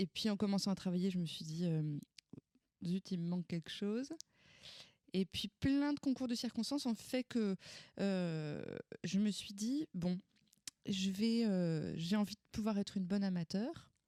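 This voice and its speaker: A woman's dark, mellow tone with long, frequent pauses, in a dry, close sound with no echo. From France, Val-d'Oise (Paris suburbs). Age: 30s. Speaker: opera singer. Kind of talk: interview. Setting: at her home. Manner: hesitant, many fillers.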